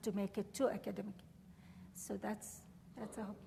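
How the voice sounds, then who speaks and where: A woman speaks at a fairly high pitch with fairly even intonation and an Arabic accent. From Syria, Damascus. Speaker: professor. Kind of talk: lecture Q&A.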